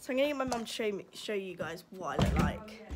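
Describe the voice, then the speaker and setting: Noticeable background noise sits behind a woman speaking. Her pace is fairly quick and her intonation lively. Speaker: vlogger. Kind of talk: casual vlog chat. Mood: embarrassed, giggly. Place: home room. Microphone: phone near.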